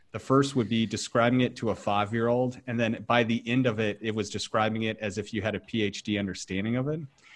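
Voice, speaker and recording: A man's medium-pitched voice at a very fast pace, with fairly even intonation and hardly any pauses. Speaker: podcast host. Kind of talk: interview conversation. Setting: video call.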